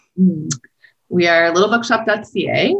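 Speaking with a Western Canadian accent, a woman goes at a fairly slow pace with ordinary pitch variation. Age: middle-aged. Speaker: independent bookstore owner. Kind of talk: casual interview.

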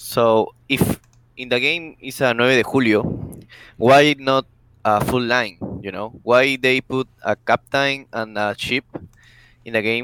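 With a Spanish accent, a man speaks very slowly at a medium pitch, leaving long, frequent pauses, his intonation fairly even and the sound dry and close with no echo. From South America. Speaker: gaming clan member. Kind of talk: casual interview. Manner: halting.

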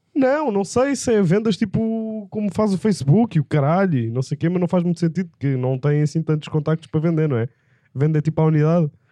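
A man's high-pitched voice with a dark, mellow tone, lively intonation and a fairly quick pace, dry and close with no echo. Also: very even loudness. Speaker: pediatrician. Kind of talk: casual comedic chat.

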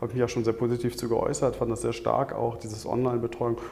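A man speaks very fast at a medium pitch. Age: 50s. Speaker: management consultant, coaching client. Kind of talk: interview. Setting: on location overlooking a Hamburg street. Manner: hesitant, many filler sounds.

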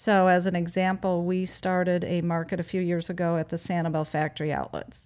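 A woman with an American accent speaks fairly quickly in a fairly low voice, with hardly any pauses. Her intonation is monotone and flat, on a very clean recording with a silent background. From Wisconsin. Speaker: farmers market organizer. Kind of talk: casual interview.

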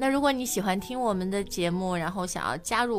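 The speech comes at a very fast pace in a Chinese accent. Pitch varies in an ordinary way. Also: woman. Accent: Mandarin Chinese accent in English. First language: Mandarin Chinese. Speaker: English teaching podcast host. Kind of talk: show intro and promo.

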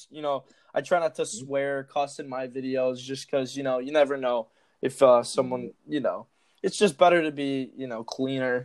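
Against a quiet background, a man with an unremarkable speaking voice talks at a moderate pace and medium pitch, keeping his intonation fairly even while his loudness swings widely. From Chicago. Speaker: TikTok creator. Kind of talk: casual chat.

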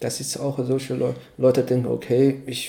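A man speaks with a Chinese accent at a medium pitch. His tone is dark and mellow. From China. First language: Chinese (speaking German). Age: 30s. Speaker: cultural exchange organizer. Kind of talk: casual interview. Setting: evening tea session. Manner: halting, many fillers.

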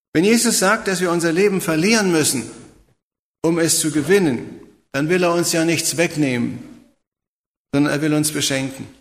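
Audible room echo surrounds a man whose pitch is high, speaking at a moderate pace with ordinary pitch variation. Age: 70s. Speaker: preacher. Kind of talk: sermon.

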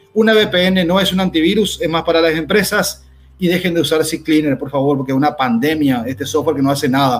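Speaking at a fairly quick pace, a man with a fairly high pitch uses an unremarkable speaking voice with ordinary pitch variation. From Paraguay. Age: 40s. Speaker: cybersecurity expert. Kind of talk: educational talk.

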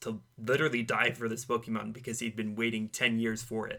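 Speaking at a moderate pace, a man with a medium-pitched voice has a bright, sharp tone. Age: 20s. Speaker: podcast co-host. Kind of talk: casual chat.

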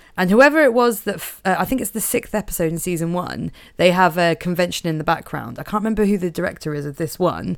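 A Norfolk accent at a very fast pace, with lively intonation and hardly any pauses, on a very clean recording with a silent background. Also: woman, fairly low pitch for a woman. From Norfolk, England. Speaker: podcast co-host. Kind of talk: casual chat. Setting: studio.

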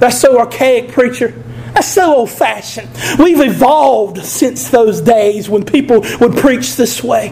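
Someone speaks with a Southern US accent at a moderate pace. Noticeable background noise runs under the voice. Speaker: preacher. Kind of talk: sermon. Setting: church. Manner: loud; animated.

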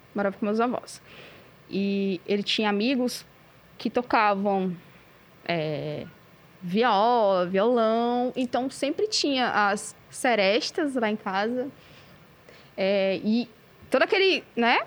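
The speech moves at a very slow pace with long, frequent pauses and ordinary pitch variation. The background is quiet. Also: woman. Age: 30s. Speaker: metal band vocalist. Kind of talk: casual chat. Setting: cultural centre recording with production crew.

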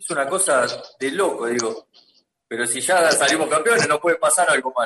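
Intonation is lively and the delivery moves at a moderate speed. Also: man. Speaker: former footballer. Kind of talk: casual chat. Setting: video call.

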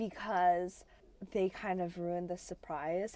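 A woman with an ordinary speaking voice talks at a moderate pace and medium pitch in an American accent. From US. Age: 20s. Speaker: podcast co-host. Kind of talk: casual chat. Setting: recording in a closet.

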